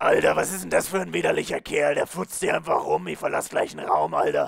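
Light background noise sits behind a man talking at a fairly quick pace. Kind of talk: youth slang. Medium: fan dub. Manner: crude, disgusted.

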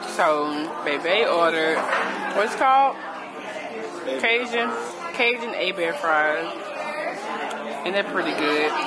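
A woman talks at a very slow pace with long, frequent pauses while crowd noise fills the background. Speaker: vlogger. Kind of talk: casual vlog chat. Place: cafe. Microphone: phone near.

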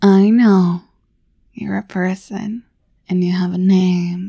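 The speaker is soft-spoken and moves at a very slow pace. The sound is dry with no echo, over a quiet background. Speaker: voice actor in audio roleplay. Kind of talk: scripted roleplay monologue. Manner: soft, close, affectionate ASMR voice.

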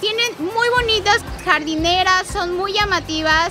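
A woman speaks at a fairly slow pace over loud music in the background. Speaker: travel vlogger. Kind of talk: travel vlog presentation. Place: garden.

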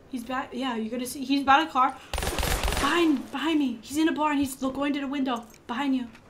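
With a high pitch and a moderate pace, a woman speaks against noticeable background noise. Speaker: gaming streamer. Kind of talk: live gameplay commentary. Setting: online voice chat. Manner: animated.

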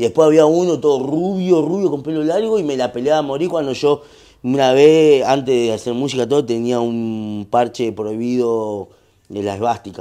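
A man talks in a dark, mellow tone. The background is quiet. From Argentina, La Matanza (Greater Buenos Aires); Argentina. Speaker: urban music artist; podcast guest. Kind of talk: casual interview chat. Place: home room.

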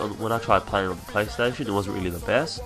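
With music behind him, a man talks in a fairly low voice. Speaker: gaming commentator. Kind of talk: video game commentary. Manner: fast.

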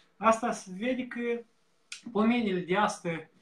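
At a fairly slow pace, a man talks. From Moldova. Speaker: campaign volunteer; guest. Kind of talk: casual chat. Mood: thoughtful, concerned. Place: home room. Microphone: earbuds.

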